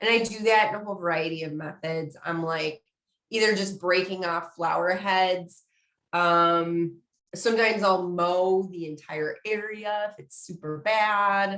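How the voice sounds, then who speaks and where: A woman's ordinary speaking voice at a medium pitch, fairly even in intonation and fairly slow, with big swings in loudness. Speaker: community engagement specialist, webinar presenter. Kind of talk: webinar lecture. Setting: online webinar. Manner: casual, conversational.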